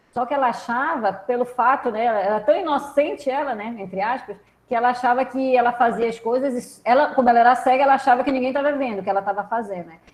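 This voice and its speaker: Her voice is high-pitched, racing at a very fast pace with hardly any pauses. The woman's loudness swings widely. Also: ordinary pitch variation. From Brazil. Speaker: professor. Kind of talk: online lecture. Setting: video call. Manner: conversational, hesitant.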